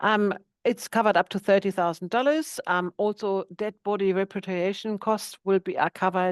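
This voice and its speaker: A woman with a German accent, medium pitch, fairly even intonation and moderate pace, in dry, close sound with no echo. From Germany, countryside. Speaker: boat insurance agent. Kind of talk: webinar presentation.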